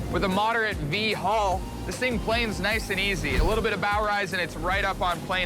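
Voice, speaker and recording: Music plays behind a man who speaks with a raised, projected voice at a high pitch. The room adds an audible echo. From Ontario, Canada. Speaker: TV host and news reporter. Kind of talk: broadcast reporting and presenting.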